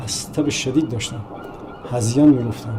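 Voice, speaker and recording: A man's fairly quick speech with ordinary pitch variation, noticeable background noise and audible room echo. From Iran, Bushehr (southern Iran). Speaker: painter and sculptor. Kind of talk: documentary interview, personal recollection.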